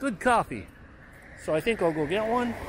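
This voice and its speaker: A man's high voice with very wide pitch swings, at a moderate pace, dry with no echo, over noticeable background noise. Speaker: vlogger filming a walk. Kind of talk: casual vlog chat. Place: street. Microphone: phone near.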